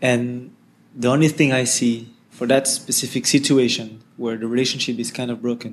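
In a French accent, a man of medium pitch speaks at a moderate pace in a flat monotone. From France. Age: 20s. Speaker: social entrepreneur. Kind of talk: interview.

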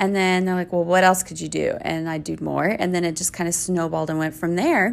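In a very clean recording over a silent background, a woman talks with an American accent. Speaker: business owner. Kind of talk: interview chat.

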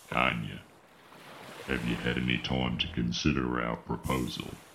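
Putting on a robotic character voice, a man speaks with a very deep, low pitch in a flat monotone at a moderate pace, with clear background noise behind him.

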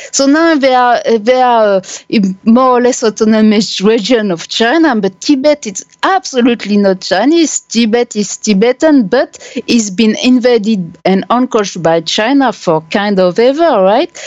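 A woman with a fairly high pitch speaks at a moderate pace with lively intonation. The sound is dry and close, with no echo. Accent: French. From France. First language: French. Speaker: human rights activist and blogger. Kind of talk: interview. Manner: halting.

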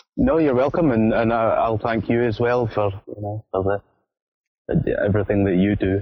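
With a Scottish accent, a man talks at a fairly slow pace and medium pitch, his loudness very even and his pitch variation ordinary. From Scotland. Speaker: football fan, show patron. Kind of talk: casual chat.

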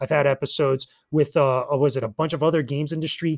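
Speaking very fast in an East Coast US accent, a man uses a fairly high voice with fairly even intonation, recorded dry and close with no echo and a silent, very clean background. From US East Coast. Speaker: YouTuber and games media content creator. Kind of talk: casual chat.

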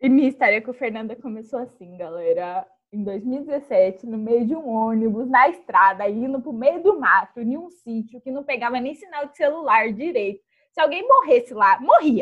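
A woman speaks at a moderate pace in a high pitch. Her loudness swings widely. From Taubaté, São Paulo state, Brazil. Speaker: podcast co-host. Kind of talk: casual chat.

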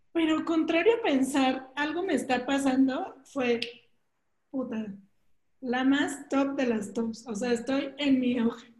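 Speaking very slowly in a room with audible echo, a woman has a high pitch and ordinary pitch variation. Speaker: podcast co-host. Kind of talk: casual chat.

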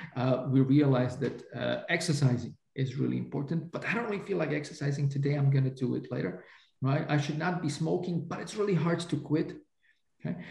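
With vocal fry, a man speaks at a fairly quick pace, his pitch fairly high with ordinary variation. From Slovakia. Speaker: economics professor. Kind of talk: interview. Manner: hesitant, many fillers.

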